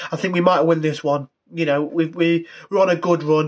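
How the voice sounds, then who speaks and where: The background is quiet. A man talks with fairly even intonation. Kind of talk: casual vlog chat. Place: home room. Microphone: phone near.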